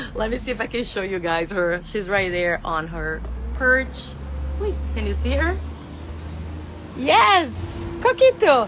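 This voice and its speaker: A woman speaks with a strong non-native accent. She takes long, frequent pauses, and background noise is noticeable. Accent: thick non-native English. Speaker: exotic animal veterinarian. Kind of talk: live stream product review. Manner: casual, enthusiastic.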